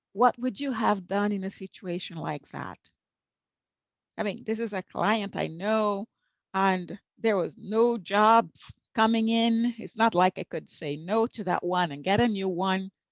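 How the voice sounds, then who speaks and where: A normal speaking voice comes from a woman at a medium pitch with ordinary variation. She speaks at a fairly slow pace, the sound dry and close with no echo. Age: 60s. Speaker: professional interpreter and conference speaker. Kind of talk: conference talk.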